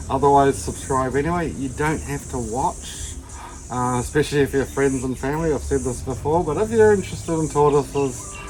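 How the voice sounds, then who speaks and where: A man talks at a fairly quick pace in a New Zealand accent. Noticeable background noise sits behind him. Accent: Kiwi (New Zealand). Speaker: tortoise keeper / YouTuber. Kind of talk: casual tutorial vlog.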